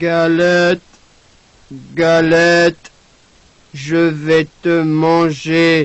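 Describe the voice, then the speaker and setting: A man growls in a put-on character voice, high-pitched and monotone with flat intonation. He goes very slowly, with long, frequent pauses. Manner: menacing.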